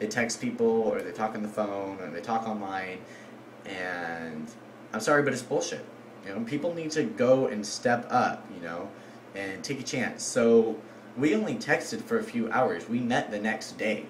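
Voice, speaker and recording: Speaking at a moderate pace and medium pitch with ordinary pitch variation, a man is heard with audible room echo and noticeable background noise. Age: 18. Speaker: vlogger. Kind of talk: casual vlog monologue. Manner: filler-heavy, halting.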